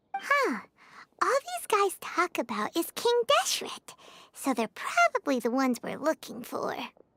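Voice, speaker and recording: A squeaky put-on character voice sits at an extremely high pitch with very wide pitch swings. It moves at a moderate pace. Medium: video game.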